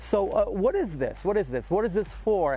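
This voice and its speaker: A man talks at a moderate pace. Faint music plays in the background, and the sound is dry with no echo. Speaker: presenter. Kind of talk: casual walkaround commentary. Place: open country. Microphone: lapel.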